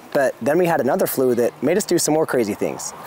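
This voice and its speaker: A man talks at a very fast pace with lively intonation, the sound dry with no echo. Music plays in the background. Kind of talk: casual vlog chat. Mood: playful, joking. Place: garden.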